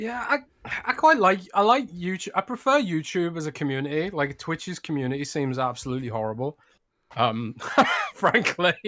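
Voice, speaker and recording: A man with a British accent speaks at a moderate pace and high pitch. His tone is bright and sharp, with very wide pitch swings. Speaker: podcast co-host, games journalist. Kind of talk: casual chat. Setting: live stream.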